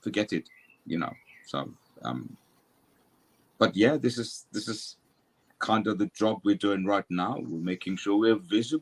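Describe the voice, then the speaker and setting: A man with a fairly low pitch and vocal fry talks at a fairly slow pace, leaving long, frequent pauses. His intonation is lively, and the sound is dry and close with no echo. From Germany, Turkish parents. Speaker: mental health professional. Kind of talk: panel discussion. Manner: talkative.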